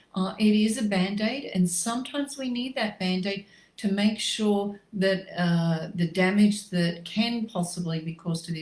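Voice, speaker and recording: A somewhat breathy woman with an Australian accent, fairly slow in pace, with ordinary pitch variation. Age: 60s. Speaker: natural medicine practitioner. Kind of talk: facebook live health talk. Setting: livestream.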